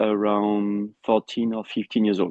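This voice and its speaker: This man talks at a fairly low pitch with a French accent. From France. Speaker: endurance rider and trainer. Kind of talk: interview. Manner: halting.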